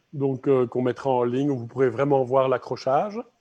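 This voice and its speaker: Against a quiet background, the speaker has a dark, mellow tone and a Belgian accent. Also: man. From Belgium. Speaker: gallery interviewer. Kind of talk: interview. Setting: live stream from an art gallery.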